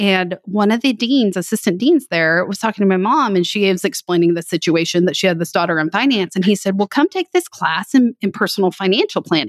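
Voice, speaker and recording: A woman with a Texan accent talks at a medium pitch and a fairly quick pace. The sound is dry and close, with no echo. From West Texas. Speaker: financial planning educator. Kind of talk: casual interview chat.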